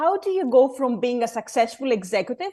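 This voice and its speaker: Lively intonation accompanies a fairly quick delivery. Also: woman. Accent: Greek. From Greece, Athens. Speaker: board club founder, former lawyer. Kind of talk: interview. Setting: video call.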